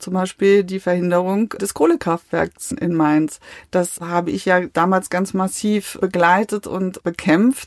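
With fairly even intonation, a woman speaks at a fairly slow pace at medium pitch, in an ordinary speaking voice. The recording is very clean with a silent background and a dry, close sound with no echo. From Westphalia, Germany. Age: 50s. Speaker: politician. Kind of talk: interview. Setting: small recording room.

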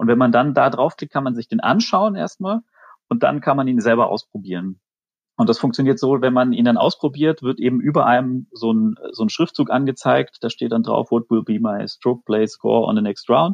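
Lively intonation marks this man's speech. His unremarkable speaking voice sits at a medium pitch. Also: moderate pace. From Swabia, near Stuttgart. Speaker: amateur golfer, listener guest. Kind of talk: casual chat. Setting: remote call from home.

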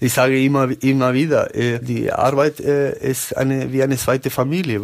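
Noticeable background noise runs under a man's medium-pitched voice. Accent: Spanish. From Uruguay. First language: Spanish (speaking German). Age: 30s. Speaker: company employee, COVID survivor. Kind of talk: interview, personal testimony. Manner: halting.

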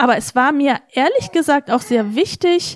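Animated in tone, a woman talks with ordinary pitch variation. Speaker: politician. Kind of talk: interview. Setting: studio.

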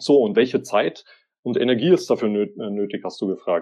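The speaker is a man. Very wide swings mark his pitch. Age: 30s. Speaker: author and social media agency owner. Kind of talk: interview.

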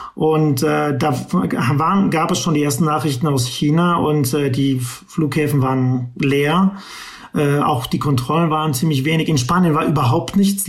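A fairly slow delivery with ordinary pitch variation and very even loudness, amid audible room echo and noticeable background noise. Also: man. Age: 50s. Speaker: tech entrepreneur. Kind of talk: interview. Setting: remote call from home.

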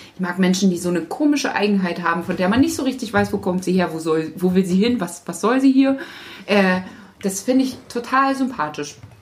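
Fairly quick, lively speech from a woman at medium pitch with a slight Thuringian accent, over noticeable background noise. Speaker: podcast co-host. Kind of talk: casual chat.

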